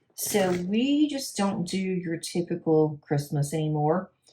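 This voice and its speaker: A woman with a Southern US accent speaks in a medium pitch with lively intonation. Her tone is dark and mellow, and somewhat breathy. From US South. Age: 50s. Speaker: crafting YouTuber. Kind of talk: casual chat.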